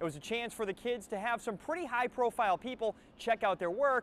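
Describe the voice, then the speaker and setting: With lively intonation and a fairly quick pace, a man speaks in a dry sound with no echo. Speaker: TV show host. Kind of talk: news report presenting. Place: stadium. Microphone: lapel.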